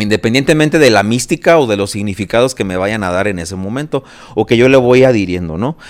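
The pace is very fast. The intonation is lively. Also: man, medium pitch for a man. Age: 40s. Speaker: marathon runner and architect. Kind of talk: casual chat.

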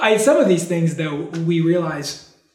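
A man's high-pitched voice with an American accent at a moderate pace, with audible room echo. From New York / New Jersey, then Texas. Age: 40s. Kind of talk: interview testimony. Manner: cheerful, smiling.

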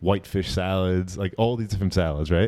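Very deep and low, a man's voice has a dark, mellow tone. He goes at a fairly quick pace on a very clean recording with a silent background. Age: 30s. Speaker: private chef and podcast host. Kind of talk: casual chat. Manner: animated.

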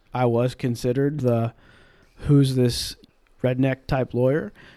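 This man speaks with a slight Southern US accent at a medium pitch in a dark, mellow tone. His intonation is fairly even and his pace fairly slow. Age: 20s. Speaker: in-house general counsel. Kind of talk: casual interview conversation.

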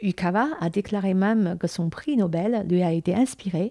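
A woman's voice, pitched in the medium range, moves at a very slow pace. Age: 40s. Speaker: podcaster on Chinese culture. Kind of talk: casual talk. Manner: halting.

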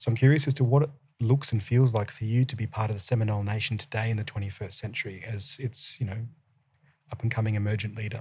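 Speaking very fast with an Australian accent, a man has a medium pitch, fairly even intonation and a somewhat breathy quality. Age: 30s. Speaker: podcast host. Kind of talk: interview. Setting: studio.

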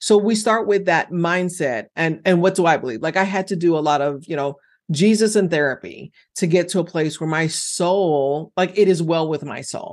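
A woman speaks in an ordinary speaking voice, fairly low in pitch, with ordinary pitch variation at a moderate pace against a quiet background. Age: 50s. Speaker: financial coach and former accountant. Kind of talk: interview.

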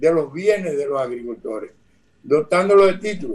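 Pitched high, the man talks at a fairly slow pace with ordinary pitch variation. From Dominican Republic, southern region (Barahona). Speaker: former agricultural bank administrator. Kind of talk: radio interview. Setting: video call.

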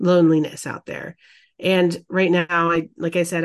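A woman with a plain, everyday voice, fairly low in pitch, talks at a moderate pace against a quiet background. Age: 40s. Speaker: podcast co-host. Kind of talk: casual chat.

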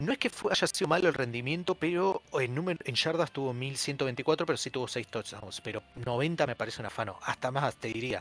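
A man's plain, everyday voice at medium pitch, moderate pace, with ordinary pitch variation. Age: 20s. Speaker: podcast host. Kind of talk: casual chat. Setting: Discord call.

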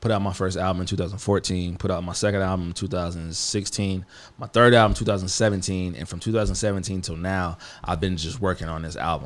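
The man's voice is very deep and low. His intonation is fairly even. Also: moderate pace. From Missouri, US Midwest. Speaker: rapper and songwriter. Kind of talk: casual chat. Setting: studio.

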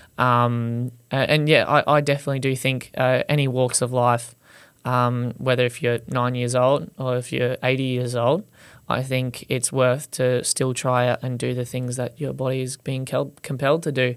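The recording is very clean, with a silent background. A man with an Australian accent speaks at medium pitch with monotone, flat intonation. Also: moderate pace. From Australia, Gold Coast. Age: 20s. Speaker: content creator who wraps his car in Christmas paper. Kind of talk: casual interview.

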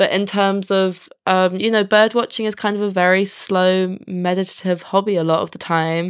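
Moderate pace and hardly any pauses, in a monotone, flat intonation on a very clean recording with a silent background. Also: woman, medium pitch for a woman. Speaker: environmental campaigner and author. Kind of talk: interview conversation.

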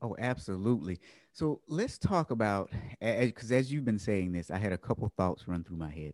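A man talks at a fairly quick pace in a fairly low voice with lively intonation, an unremarkable speaking voice. The recording is very clean, with a silent background and a dry, close sound with no echo. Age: 40s. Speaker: podcast host. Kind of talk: interview conversation.

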